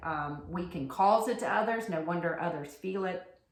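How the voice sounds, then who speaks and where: With audible room echo, a woman speaks with lively intonation in an American accent. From US South, rural. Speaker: podcast co-host, yoga teacher. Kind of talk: casual chat.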